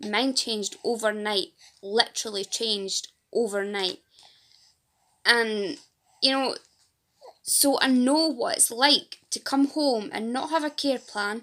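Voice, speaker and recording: A woman with a Fife accent, fairly high-pitched, at a very slow pace with long, frequent pauses. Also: ordinary pitch variation. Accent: Fife Scottish. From Scotland, Fife. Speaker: patient advocate and support group leader. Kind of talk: casual vlog to camera.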